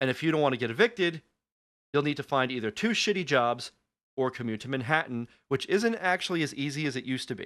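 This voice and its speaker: An American-accented man talks at a fairly quick pace with lively intonation and a fairly high pitch. The background is quiet. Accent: Long Island accent, stronger when angry. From Long Island, New York. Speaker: radio podcast host. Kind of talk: talk radio rant. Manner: animated.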